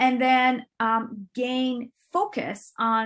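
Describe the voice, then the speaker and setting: A woman talks with a Turkish accent in a somewhat breathy voice. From Turkey. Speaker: business coach and entrepreneur. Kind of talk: interview.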